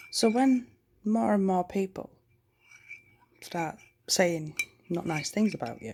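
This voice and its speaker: Delivered at a very slow pace with long, frequent pauses, the voice has a Yorkshire accent, a dark, mellow tone and very wide pitch swings. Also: woman, medium pitch for a woman. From Yorkshire, northern England. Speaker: vlogger. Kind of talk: casual chat. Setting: at home at night. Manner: loud.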